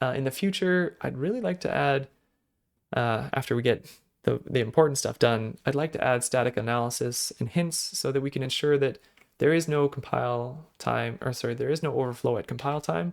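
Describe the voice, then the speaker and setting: At a fairly quick pace, a man talks with ordinary pitch variation at a medium pitch. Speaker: programming language developer. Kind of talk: tutorial. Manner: casual with fillers; fast.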